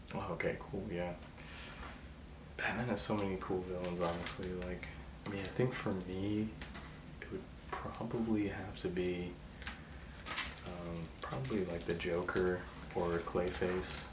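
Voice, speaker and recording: A man with a very deep, low pitch and a relaxed tone speaks at a fairly slow pace, with fairly even intonation. Long, frequent pauses break up his speech, and noticeable background noise is present. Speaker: ASMR creator. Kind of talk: ASMR role play. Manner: casual, relaxed.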